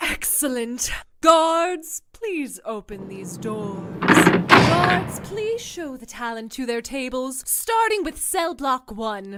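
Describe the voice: A woman puts on a character voice, high-pitched and fairly bright, speaking slowly with big pitch swings.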